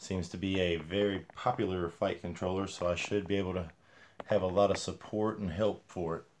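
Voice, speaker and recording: Mumbling at a fairly quick pace, a man with a very deep, low pitch speaks in a monotone, flat intonation. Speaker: RC hobbyist. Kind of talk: casual livestream talk.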